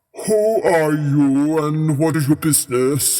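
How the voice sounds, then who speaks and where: Using a put-on character voice, a man talks at a fairly slow pace in a fairly high pitch with ordinary pitch variation. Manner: kingly, authoritative.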